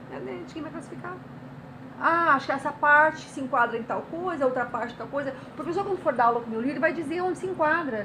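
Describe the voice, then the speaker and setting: Over noticeable background noise, a woman with a high voice talks very fast in a raised, projected voice, her loudness swinging widely while her pitch varies in an ordinary way. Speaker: writer and artist. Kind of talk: interview.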